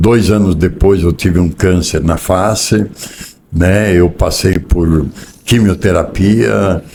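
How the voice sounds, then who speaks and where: A man with a very deep, low voice speaks at a very slow pace, leaving long, frequent pauses, with ordinary pitch variation. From southern Brazil, Rio Grande do Sul. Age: 60s. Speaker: business executive. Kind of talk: interview.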